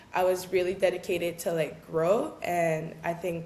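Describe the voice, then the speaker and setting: Monotone, flat intonation from a woman at a fairly low pitch and a moderate pace, with audible room echo and noticeable background noise. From Quebec, Gatineau. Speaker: professional basketball player. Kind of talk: interview. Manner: casual, filler-heavy.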